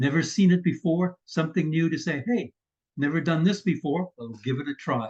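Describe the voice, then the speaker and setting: At a moderate pace, a man with a Canadian accent talks in a somewhat breathy, fairly high voice. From Canada. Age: 80s+. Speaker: vlogger. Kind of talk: casual vlog talk. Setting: screen-share recording.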